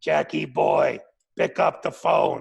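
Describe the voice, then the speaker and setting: A man speaks in a put-on character voice. It sounds gravelly and raspy. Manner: commanding, calling on the phone.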